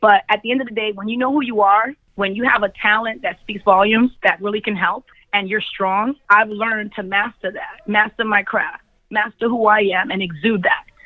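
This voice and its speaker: Her pace is moderate. The woman keeps a fairly even intonation. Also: fairly high pitch for a woman. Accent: New York. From Brooklyn, New York. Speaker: field accounts manager. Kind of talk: interview.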